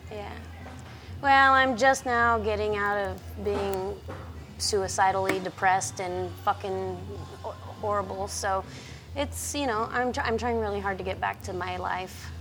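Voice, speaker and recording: Audible room echo on a woman's fairly slow delivery. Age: 40s. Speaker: roller skater and artist. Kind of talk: casual chat.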